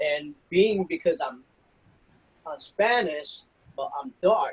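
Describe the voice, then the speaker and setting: A man talks at a very slow pace. His high voice carries lively intonation. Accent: strong New York. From New York City, the Bronx (Puerto Rican family). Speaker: federal law enforcement officer. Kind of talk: interview. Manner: casual, hesitant with fillers.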